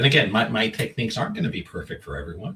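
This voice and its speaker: This man's voice has a bright, sharp tone with vocal fry. His pitch swings very widely. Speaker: energy healer and author. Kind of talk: interview. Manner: fast.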